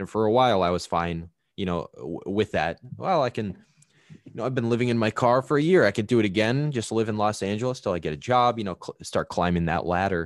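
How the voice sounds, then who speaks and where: The speech has lively intonation in an American accent. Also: man, fairly low pitch for a man. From rural Wisconsin, US. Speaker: podcast guest. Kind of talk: casual chat. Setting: remote call. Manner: halting.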